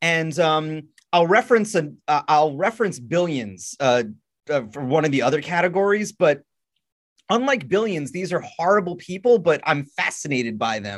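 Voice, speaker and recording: At a moderate pace, a man speaks with a fairly high pitch and very wide pitch swings. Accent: American. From US Northeast, Long Island, New York. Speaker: podcaster. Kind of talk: casual chat.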